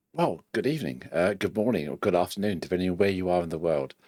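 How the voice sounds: Putting on a croaky character voice, a man talks at a very fast pace with a very deep, low pitch.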